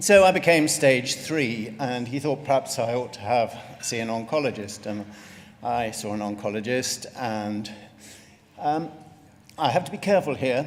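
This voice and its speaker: With lively intonation and a medium pitch, a man speaks at a moderate pace, leaving long, frequent pauses amid noticeable background noise. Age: 60s. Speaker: retired GP and melanoma patient. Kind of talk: patient testimony talk.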